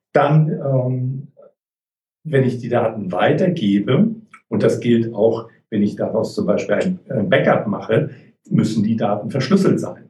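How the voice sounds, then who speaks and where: A man's dark, mellow, somewhat breathy voice at a medium pitch, very slow, with long, frequent pauses and lively intonation. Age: 50s. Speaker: IT security and data protection consultant. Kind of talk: interview.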